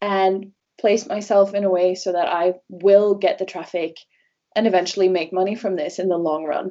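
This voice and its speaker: With a Norwegian accent, a woman speaks at a medium pitch and a moderate pace, her intonation fairly even. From Norway. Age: 20s. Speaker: travel blogger. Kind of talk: casual interview chat.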